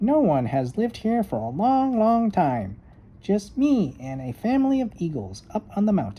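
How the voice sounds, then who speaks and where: A squeaky, put-on character voice from a man, high-pitched, at a moderate pace. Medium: read story.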